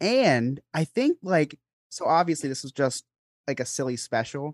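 In a quiet background, a man with a normal speaking voice talks at a fairly slow pace, his fairly high pitch showing ordinary variation. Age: 20s. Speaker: podcast co-host. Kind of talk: casual chat.

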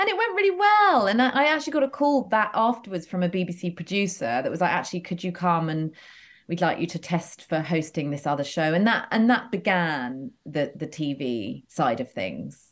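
This woman has an English accent and a fairly low pitch with very wide pitch swings. She talks at a moderate pace with hardly any pauses. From England, near London. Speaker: entrepreneur, former TV host. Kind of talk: casual chat. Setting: video call.

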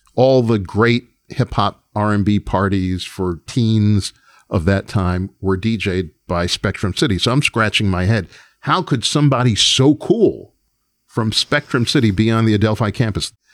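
On a very clean recording with a silent background and a dry, close sound with no echo, a man with an American accent speaks at a fairly slow pace and fairly low pitch in a plain, everyday voice. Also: ordinary pitch variation. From New York. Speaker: music producer and record executive. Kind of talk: interview storytelling.

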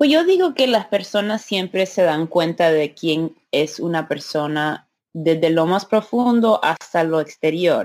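Holding very even loudness with hardly any pauses, a woman speaks at a fairly slow pace in a fairly low voice with ordinary pitch variation. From US (Maryland and New Orleans), Honduran parents. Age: 30s. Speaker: podcaster and business development professional. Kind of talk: interview conversation. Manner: halting, with filler words and code-switching.

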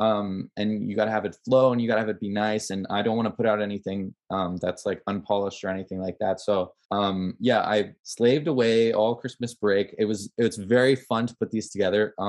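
An unremarkable speaking voice from a man with a Canadian accent, fairly low in pitch, fairly quick, fairly even in intonation, over a quiet background. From Canada, Ottawa. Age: 20s. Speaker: film student and documentary maker. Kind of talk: casual chat interview.

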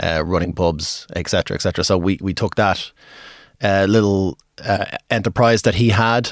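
In a very clean recording with a silent background, a man with an Irish accent and a fairly low pitch talks at a moderate pace. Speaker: pub and music venue owner. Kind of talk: casual interview chat.

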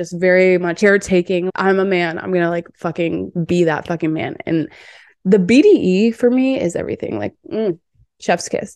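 An ordinary speaking voice from a woman at medium pitch, moderate pace and ordinary pitch variation, against a quiet background. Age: 20s. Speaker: podcast host and dating coach. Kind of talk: casual monologue.

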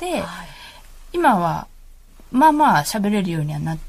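At a moderate pace, a woman talks in a somewhat breathy voice with very wide pitch swings. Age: 40s. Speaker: mother of a toddler. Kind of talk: casual chat. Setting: studio.

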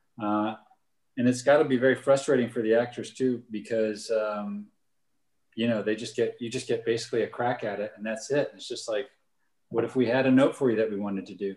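At a fairly quick pace, a man with an ordinary speaking voice and medium pitch talks with fairly even intonation but big swings in loudness. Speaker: film director and camera operator. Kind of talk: casual interview chat.

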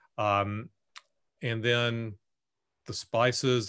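On a very clean recording with a silent background, a man talks in an Alabama accent. His pitch is medium. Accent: Southern US (Alabama). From US South, Bessemer, Alabama. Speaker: author and English professor. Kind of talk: casual interview.

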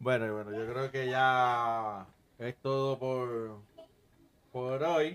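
A speaker with fairly even intonation talks at a very slow pace, with long, frequent pauses. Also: man, medium pitch for a man. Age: 40s. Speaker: podcast host. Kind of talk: casual chat.

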